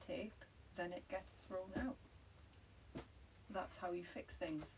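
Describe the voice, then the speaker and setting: A woman with a Geordie accent speaks at a moderate pace with lively intonation. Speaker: livestream co-host, English teacher. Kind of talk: casual chat. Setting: livestream.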